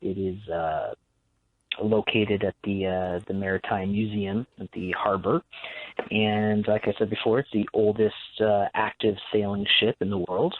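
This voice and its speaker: Here is an unremarkable speaking voice from a man with fairly low pitch. He goes at a fairly slow pace with fairly even intonation. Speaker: paranormal investigator. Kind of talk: radio guest interview. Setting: phone line.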